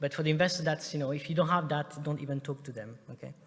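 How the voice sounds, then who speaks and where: This man's voice has a fairly high pitch. His intonation is monotone and flat. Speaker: startup investor and conference speaker. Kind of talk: conference presentation. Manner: fast; hesitant, many filler sounds.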